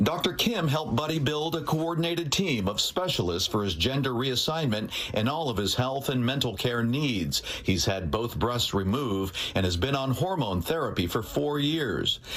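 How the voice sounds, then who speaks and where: A man's medium-pitched voice with very wide pitch swings and very even loudness, over noticeable background noise. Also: moderate pace, hardly any pauses. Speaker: TV news reporter. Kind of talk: TV news report narration.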